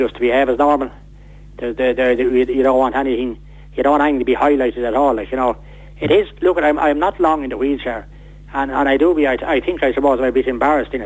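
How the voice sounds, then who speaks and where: Over noticeable background noise, someone with an Irish accent speaks very fast with fairly even intonation. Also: man. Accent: Irish, Wexford. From Ireland, County Wexford. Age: 60s. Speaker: man living with motor neurone disease. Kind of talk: radio interview. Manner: halting, repeats words.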